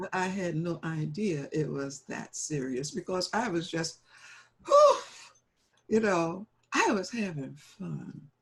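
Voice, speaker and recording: A woman's somewhat breathy, fairly low voice at a very slow pace, with ordinary pitch variation and long, frequent pauses. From New Orleans. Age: 80s+. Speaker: jazz vocalist. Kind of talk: interview answer.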